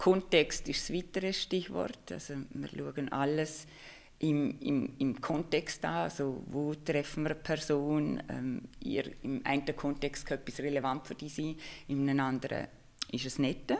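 In a very clean recording with a silent background, a woman speaks at a fairly slow pace with a very deep, low pitch, vocal fry and ordinary pitch variation. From Liechtenstein. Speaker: marketing expert and lecturer. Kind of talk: interview on livestream.

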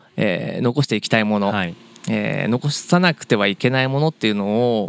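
Speaking at a fairly quick pace with lively intonation, a man with a medium-pitched voice is heard in a dry, close sound with no echo. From Japan, Kawagoe (Saitama). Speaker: family business executive (soy sauce maker). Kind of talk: interview. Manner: halting, many fillers.

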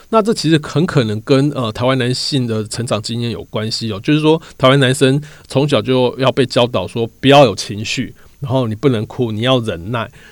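In a normal speaking voice, the speaker goes at a moderate pace with ordinary pitch variation, on a very clean recording with a silent background. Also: man, medium pitch for a man. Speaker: podcast host and magazine reporter. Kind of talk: narrated storytelling podcast. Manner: frequent filler words.

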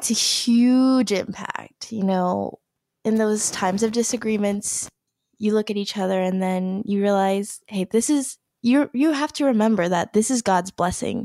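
In a Canadian accent and an unremarkable speaking voice, a woman talks fairly slowly at a fairly high pitch with ordinary pitch variation on a very clean recording with a silent background. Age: 20s. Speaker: newlywed wife. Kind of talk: casual interview.

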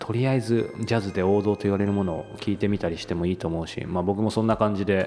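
Music plays in the background as a man speaks very fast at a fairly low pitch, with fairly even intonation and hardly any pauses. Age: 30s. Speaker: podcast host and interviewer. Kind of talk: casual interview chat.

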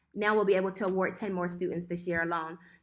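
A woman speaks in a Philadelphia accent. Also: very clean recording, silent background. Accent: Philadelphia American. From West Philadelphia. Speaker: apparel designer. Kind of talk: interview, casual chat.

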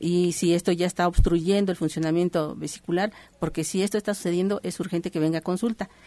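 A woman speaks at a very fast pace in a dark, mellow tone. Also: dry, close sound with no echo. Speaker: naturopathic doctor. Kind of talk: radio health advice.

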